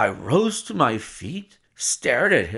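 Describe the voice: Someone does some plain reading aloud, with a quiet background behind the words.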